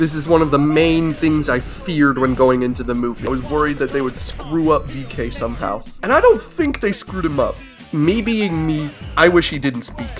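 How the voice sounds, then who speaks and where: A man speaks with a fairly high pitch and ordinary pitch variation. Music plays in the background. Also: moderate pace. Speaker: video game and movie reviewer. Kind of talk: casual commentary review.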